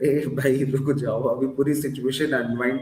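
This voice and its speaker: A soft-spoken man at a moderate pace. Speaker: stock market analyst. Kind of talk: interview. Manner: code-switching Hindi-English. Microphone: echoey room.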